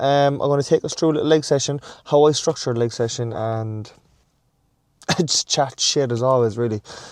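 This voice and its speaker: A man with an Irish accent, fairly high pitch, ordinary pitch variation and a fairly quick pace, over a quiet background. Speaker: fitness vlogger. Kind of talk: casual vlog chat. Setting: in a car then gym.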